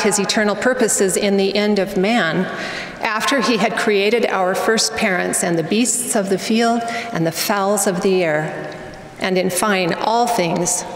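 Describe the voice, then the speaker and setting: Over light background noise and audible room echo, a woman talks fairly slowly with fairly even intonation. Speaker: speaker. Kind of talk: sermon. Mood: earnest, reverent. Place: hall. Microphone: podium.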